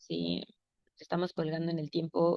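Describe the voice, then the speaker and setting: A woman talks in an unremarkable speaking voice at a moderate pace. Her pitch is fairly low. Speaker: workshop facilitator. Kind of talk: online class session.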